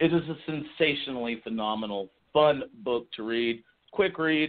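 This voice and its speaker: A man with an American accent has a normal speaking voice. His pitch is medium and his intonation lively. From Texas. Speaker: novelist. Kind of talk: interview. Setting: radio show.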